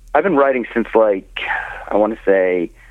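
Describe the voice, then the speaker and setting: Noticeable background noise sits under a man speaking at a medium pitch and moderate pace with ordinary pitch variation. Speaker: comedian and author. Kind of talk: casual interview chat. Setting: phone or video call.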